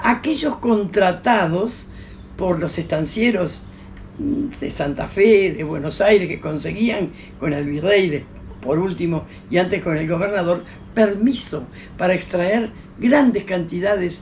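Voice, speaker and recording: Delivered at a fairly slow pace with lively intonation, the speech carries audible room echo and noticeable background noise. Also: woman. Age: 80s+. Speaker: historian and teacher. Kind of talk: interview. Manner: halting.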